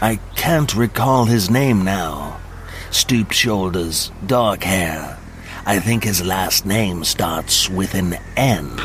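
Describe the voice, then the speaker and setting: Over clear background noise, a man in a put-on character voice speaks very slowly at a fairly low pitch. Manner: formal, matter-of-fact.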